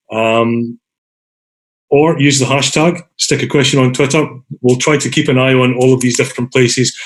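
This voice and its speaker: A man with a Scottish accent speaks at a moderate pace and medium pitch, his intonation fairly even and his loudness very even. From Scotland. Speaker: design academic, meetup organiser. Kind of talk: online meeting facilitation. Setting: video call. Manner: casual, filler-heavy.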